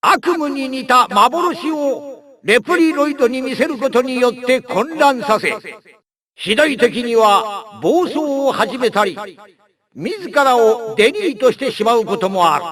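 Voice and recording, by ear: In a cartoonish character voice, a man speaks extremely high with big pitch swings at a fairly slow pace. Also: fairly bright tone.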